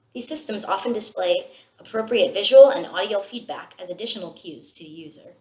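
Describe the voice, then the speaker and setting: A woman with an American accent speaks at a fairly quick pace in an unremarkable speaking voice, her fairly high pitch carried by lively intonation and big swings in loudness. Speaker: student. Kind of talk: scripted video presentation. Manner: formal.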